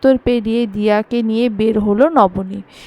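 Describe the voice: Fairly even intonation in plain reading aloud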